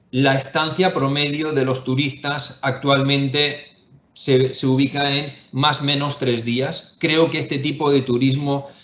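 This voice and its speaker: A man with a Spanish accent speaks at a fairly high pitch and a very slow pace. His intonation is fairly even, and the room echo is audible. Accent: Spanish (Spain). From Spain. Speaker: investment firm executive. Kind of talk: webinar panel discussion. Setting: online webinar. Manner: hesitant, many fillers and repetitions.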